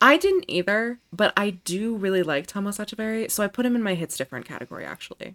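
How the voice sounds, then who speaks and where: Talking very fast with hardly any pauses, a woman uses a medium pitch, lively intonation and an animated tone, in a dry, close recording with no echo. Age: 20s. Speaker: tennis podcast co-host. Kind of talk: casual chat.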